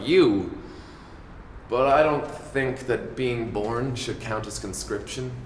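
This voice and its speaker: A man speaks in an Irish accent at a medium pitch with ordinary pitch variation over noticeable background noise. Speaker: spoken word poet. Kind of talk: poetry reading.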